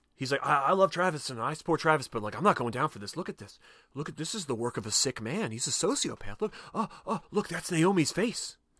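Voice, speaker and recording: Very fast and bright, sharp in tone, a man's fairly high voice carries vocal fry, very wide pitch swings and big swings in loudness on a very clean recording with a silent background. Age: 40s. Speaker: podcast host. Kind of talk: casual chat.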